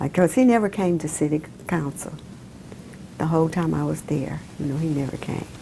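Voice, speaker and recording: A woman's very deep, low voice at a fairly quick pace, broken by long, frequent pauses, over noticeable background noise. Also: ordinary pitch variation. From Mobile, Alabama, US South. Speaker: former city councilwoman. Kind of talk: oral history interview answer.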